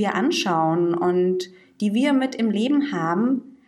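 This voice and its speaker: With lively intonation, a woman at medium pitch has a plain, everyday voice. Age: 20s. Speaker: podcast co-host, social worker. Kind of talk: casual chat.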